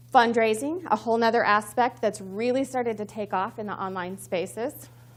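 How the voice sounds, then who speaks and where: With an American accent, a woman speaks at a fairly quick pace. Her pitch is fairly high, with ordinary pitch variation. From Missouri. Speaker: communications professional, conference speaker. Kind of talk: conference talk. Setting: stage with audience. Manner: fast; excited.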